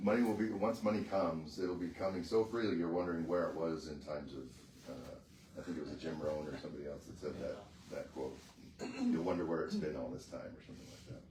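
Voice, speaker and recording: Soft-spoken and very deep, a man talks at a very fast pace with big swings in loudness and ordinary pitch variation, with audible room echo and noticeable background noise. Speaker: mastermind group member. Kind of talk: casual chat.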